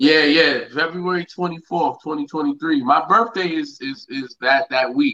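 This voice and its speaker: Speaking with a New York accent, a man with a fairly high pitch and a bright, sharp tone moves at a fairly slow pace with ordinary pitch variation and hardly any pauses. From Yonkers, New York. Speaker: musical artist. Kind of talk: casual chat.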